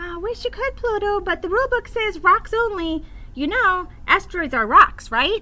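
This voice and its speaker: Using a put-on character voice, a woman projects at an extremely high pitch, moving at a moderate pace with very wide pitch swings. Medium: read story.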